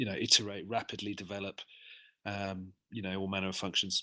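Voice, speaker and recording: In a very clean recording with a silent background, a man with an English accent speaks in a fairly low pitch with a bright, sharp tone. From England, London. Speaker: software developer. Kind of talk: interview. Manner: hesitant, many fillers.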